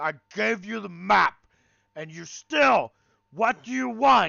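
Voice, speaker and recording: Shouting in a put-on character voice, a man projects at high pitch while keeping a fairly slow pace. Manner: yelling, angry.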